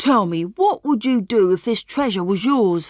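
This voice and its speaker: A woman's put-on character voice at a fairly high pitch, with lively intonation, moderate pace and a dry, close sound with no echo. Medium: read story. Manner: friendly, polite.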